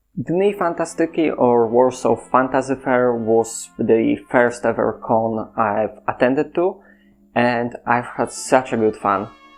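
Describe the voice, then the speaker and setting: With music in the background, a man speaks very slowly at a medium pitch, with ordinary pitch variation and very even loudness. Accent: Polish. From Poland. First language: Polish. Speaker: content creator. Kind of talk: casual monologue.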